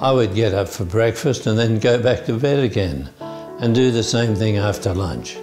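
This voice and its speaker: A man talks at a fairly slow pace with ordinary pitch variation. Clear music plays in the background. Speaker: Parkinson's patient. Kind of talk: testimonial to camera. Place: office. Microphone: lapel.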